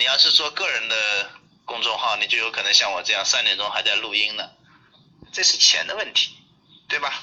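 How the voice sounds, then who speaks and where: Long, frequent pauses interrupt speech that otherwise runs at a fairly quick pace. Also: man. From China, Jiangxi (Ganzhou). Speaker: new media lecturer. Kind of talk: online group lecture. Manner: hesitant with many fillers.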